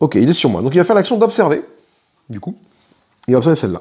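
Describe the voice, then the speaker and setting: A man's dark, mellow voice with vocal fry and very wide pitch swings. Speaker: board game youtuber. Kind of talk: solo board game playthrough commentary. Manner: fast; casual, thinking aloud.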